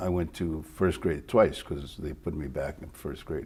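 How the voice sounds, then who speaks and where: Here a man speaks with a dark, mellow tone. His pace is moderate. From Mexico, raised in El Paso, Texas. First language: Spanish. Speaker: retired TV news reporter. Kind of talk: interview.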